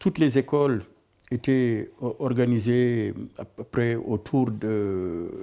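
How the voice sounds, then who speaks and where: A man's dark, mellow voice at medium pitch, with ordinary pitch variation and a very slow pace full of long, frequent pauses. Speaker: retired activist, interviewee. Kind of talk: documentary interview. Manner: halting, many repetitions.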